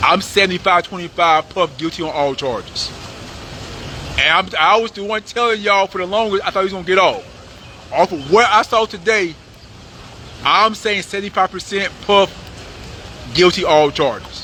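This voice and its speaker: A man's raised, projected voice, high in pitch, animated in tone, at a moderate pace with long, frequent pauses amid noticeable background noise. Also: ordinary pitch variation. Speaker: YouTube commentator. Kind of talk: live outdoor report recap. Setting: outdoors outside courthouse. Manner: casual, animated.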